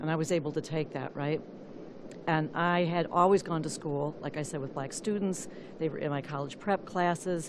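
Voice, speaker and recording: A woman's very deep, low voice at a moderate pace, with fairly even intonation, audible room echo and noticeable background noise. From US Midwest, Flint, Michigan. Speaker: activist, public commenter. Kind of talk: public comment at council meeting. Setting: city council meeting. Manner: halting.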